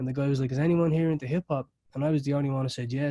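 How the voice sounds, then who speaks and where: Fairly high-pitched man with an Irish accent and a dark, mellow tone, the sound dry and close with no echo. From Ireland. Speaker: recording studio owner. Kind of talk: interview.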